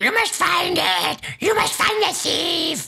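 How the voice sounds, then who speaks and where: A put-on character voice speaks at an extremely high pitch with a raspy edge. The pace is fairly slow. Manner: panicked, imploring.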